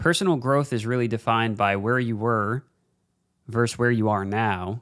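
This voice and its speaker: In a very clean recording with a silent background, a man speaks at medium pitch with ordinary pitch variation. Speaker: podcast host. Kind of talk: casual monologue. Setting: home recording with camera. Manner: slow, deliberate. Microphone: new mic setup.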